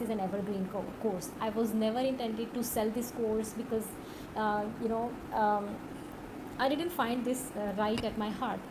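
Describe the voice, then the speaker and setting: A woman's fairly high voice in a Pakistani accent, fairly slow and fairly even in intonation, with audible room echo and noticeable background noise. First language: Urdu. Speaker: online course instructor. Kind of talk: tutorial. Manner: hesitant, many fillers.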